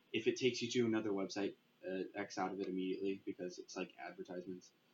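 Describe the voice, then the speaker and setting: The speaker is a man with a fairly low pitch. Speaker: youtuber making a game mod tutorial. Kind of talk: screen-recorded tutorial. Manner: fast; halting, many fillers.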